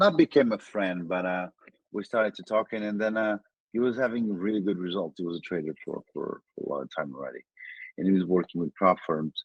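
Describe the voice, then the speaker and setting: A man speaks with a Portuguese accent. His voice is very deep and low, with ordinary pitch variation. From Portugal. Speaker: trader. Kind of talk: interview. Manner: halting.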